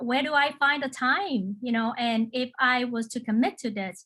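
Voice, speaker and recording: A woman speaks at a fairly slow pace with a non-native accent. Her high pitch has ordinary variation and a bright, sharp tone. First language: not English. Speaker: local elected official, panelist. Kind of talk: panel discussion. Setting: video call webinar. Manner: halting, many fillers and repetitions.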